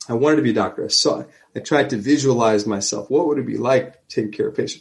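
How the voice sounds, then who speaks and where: In a New Jersey accent, a man with a medium pitch and vocal fry talks at a fairly quick pace. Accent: New Jersey American. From New Jersey, US. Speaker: emergency physician. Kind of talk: interview conversation.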